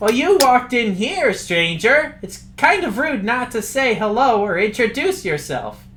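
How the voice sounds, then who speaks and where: A man's put-on character voice at extremely high pitch, moderate pace and hardly any pauses, over clear background noise. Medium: actual play. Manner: polite, formal.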